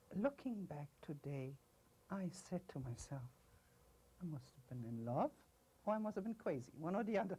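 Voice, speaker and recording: A woman with a dark, mellow, somewhat breathy tone and fairly low pitch speaks at a moderate pace, with very wide pitch swings, big swings in loudness, and long, frequent pauses. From Brazil. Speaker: former governor's wife. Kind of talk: interview.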